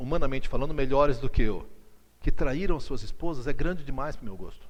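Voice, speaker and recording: With an animated tone and very wide pitch swings, a man speaks at a moderate pace with vocal fry amid audible room echo. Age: 60s. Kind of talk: lecture. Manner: conversational, animated.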